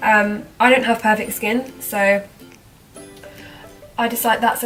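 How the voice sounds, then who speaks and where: A woman with a fairly high pitch speaks in a monotone, flat intonation. Music plays in the background. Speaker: makeup vlogger. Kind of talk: casual talk to camera.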